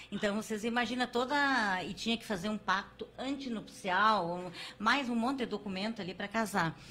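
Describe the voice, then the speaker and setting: A woman has a plain, everyday voice with a fairly high pitch. She talks at a moderate pace with ordinary pitch variation. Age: 60s. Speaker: podcast host. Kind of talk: casual chat.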